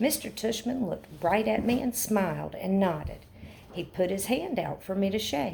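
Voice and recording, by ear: Intonation here is lively. The text is read aloud in a natural voice.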